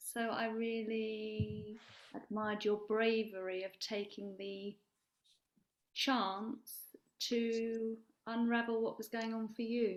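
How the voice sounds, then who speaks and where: A quiet woman's voice, fairly high in pitch, monotone and flat, at a very slow pace. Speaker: workshop participant. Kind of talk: group discussion. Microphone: too quiet, no headset mic.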